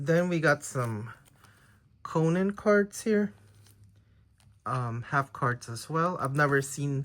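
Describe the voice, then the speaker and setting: A man with a Filipino accent speaks at a fairly high pitch. He goes very slowly, with long, frequent pauses. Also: lively intonation. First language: Tagalog. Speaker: trading card collector YouTuber. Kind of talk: casual unboxing video. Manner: hesitant, many fillers.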